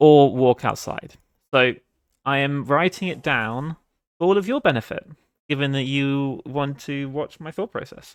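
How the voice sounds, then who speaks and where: A man with a British accent speaks at a fairly slow pace with ordinary pitch variation. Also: fairly high pitch for a man. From Britain. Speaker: game developer streamer. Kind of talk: live dev stream thinking aloud. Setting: live stream. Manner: casual, hesitant with fillers.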